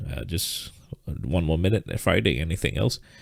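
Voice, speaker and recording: On a very clean recording with a silent background, a man speaks at a moderate pace with vocal fry. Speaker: trading teacher. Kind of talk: live stream lesson. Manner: halting, repetitive fillers.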